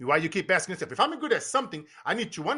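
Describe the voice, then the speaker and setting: A man with a Brazilian Portuguese accent uses a raised, projected voice, bright and sharp in tone. His high pitch moves in very wide swings. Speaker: business coach and motivational speaker. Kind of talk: podcast interview. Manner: animated.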